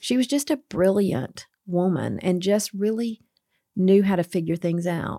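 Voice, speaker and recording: A woman speaks at a fairly slow pace in a medium pitch, with ordinary pitch variation. Her tone is dark and mellow, and the sound is dry and close with no echo. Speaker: curriculum director at a publisher. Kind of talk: casual interview. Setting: studio. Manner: loud.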